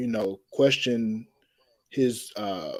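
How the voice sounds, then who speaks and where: Speaking with an American accent, a man keeps a fairly slow pace. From Atlanta, Georgia, US South. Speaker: podcast guest. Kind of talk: panel discussion.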